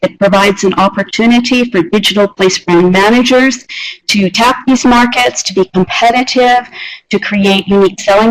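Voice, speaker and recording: Using a normal speaking voice, a woman with a fairly high pitch speaks at a moderate pace with ordinary pitch variation. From Canada. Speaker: university researcher. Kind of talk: conference presentation. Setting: video call.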